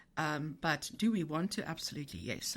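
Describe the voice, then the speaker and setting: This woman speaks with a South African accent at a fairly low pitch. The recording is very clean, with a silent background. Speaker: tech company CEO. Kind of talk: podcast interview. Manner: halting, many repetitions.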